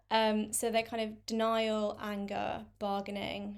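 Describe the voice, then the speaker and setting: A woman in a London accent speaks at a fairly slow pace with a fairly high pitch and monotone, flat intonation. The recording is very clean, with a silent background. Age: 20s. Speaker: content creator with chronic illness. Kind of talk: interview. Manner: hesitant with fillers.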